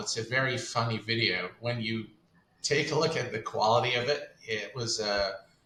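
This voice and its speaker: A man speaks at a fairly slow pace and a medium pitch, with ordinary pitch variation. Noticeable background noise is present. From Kuwait. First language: Arabic. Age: 40s. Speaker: flight sim content creator. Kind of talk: interview.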